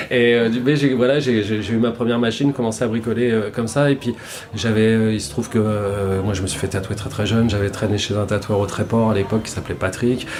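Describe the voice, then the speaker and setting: With noticeable background noise behind him, a man talks at a fairly quick pace in a medium pitch with fairly even intonation. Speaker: tattoo artist. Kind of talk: podcast interview. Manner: fast; halting, many repetitions.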